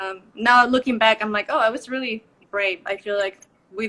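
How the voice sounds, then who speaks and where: The speaker talks at a moderate pace in a Spanish accent. The intonation is monotone and flat. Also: woman. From Mexico. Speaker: professional ballet dancer. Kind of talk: live video interview.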